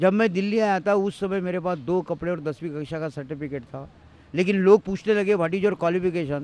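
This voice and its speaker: With ordinary pitch variation, this man's voice sits high. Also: moderate pace. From India, Maharashtra (Amravati). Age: 60s. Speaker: tea seller and author. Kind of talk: interview testimony.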